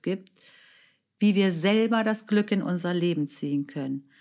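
Speaking at a fairly slow pace, a woman uses a medium pitch and lively intonation. The recording is very clean, with a silent background. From Germany. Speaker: author and podcast host. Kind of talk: solo podcast monologue.

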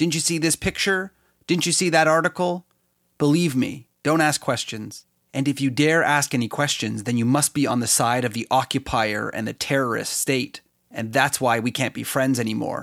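On a very clean recording with a silent background and a dry, close sound with no echo, a man with a Canadian accent talks in a normal speaking voice at a fairly high pitch, a moderate pace and ordinary pitch variation. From Canada. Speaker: podcast host. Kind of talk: solo podcast commentary.

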